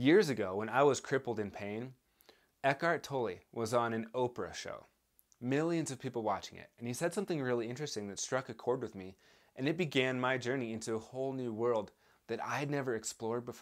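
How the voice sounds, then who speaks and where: Speaking at a fairly quick pace, a man shows ordinary pitch variation. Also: quiet background. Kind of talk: educational talk to camera. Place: home room.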